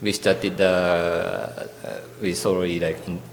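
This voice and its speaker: Noticeable background noise and audible room echo both surround this man's voice. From Japan, Tokyo. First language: Japanese. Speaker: architect. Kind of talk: lecture. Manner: halting.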